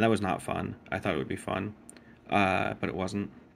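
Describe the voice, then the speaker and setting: A man speaks quietly in a fairly low voice with vocal fry. His pitch varies in an ordinary way. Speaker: gaming vlogger. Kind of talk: casual vlog update. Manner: hesitant, many fillers.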